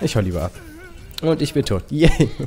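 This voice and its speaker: A man's very fast speech with very wide pitch swings over noticeable background noise. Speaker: gamer. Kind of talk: gameplay commentary. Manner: casual, chatty.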